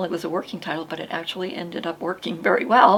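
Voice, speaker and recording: A woman speaks very fast at a fairly low pitch with ordinary pitch variation, over noticeable background noise. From Maine. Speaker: podcast host, author. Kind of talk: casual chat. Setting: studio. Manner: halting.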